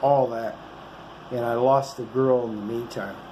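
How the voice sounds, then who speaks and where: A man's medium-pitched voice at a very slow pace, with audible room echo and noticeable background noise. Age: 60s. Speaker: vlogger. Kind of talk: casual monologue to camera. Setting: motel room. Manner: rambling, halting with fillers.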